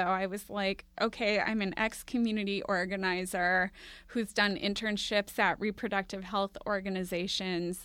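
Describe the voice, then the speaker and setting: A woman's bright, sharp voice in an American accent, at a moderate pace, on a very clean recording with a silent background. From Minneapolis, US Midwest. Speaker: podcast producer and co-host. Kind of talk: casual interview chat. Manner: frequent laughter.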